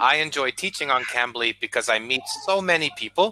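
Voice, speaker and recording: A fairly high-pitched man, dry and close with no echo, over noticeable background noise. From Boston, Massachusetts, US. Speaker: English tutor. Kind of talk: casual chat. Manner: clear.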